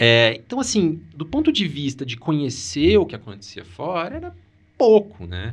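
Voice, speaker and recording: A man's voice with vocal fry and very wide pitch swings against a quiet background. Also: fairly high pitch for a man, moderate pace. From Brazil, Paraná (Maringá). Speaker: oncologist. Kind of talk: interview conversation.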